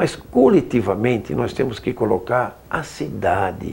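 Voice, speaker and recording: With lively intonation and vocal fry, a man speaks at a medium pitch. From Brazil, Osasco (São Paulo). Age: 70s. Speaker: city councillor. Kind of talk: interview.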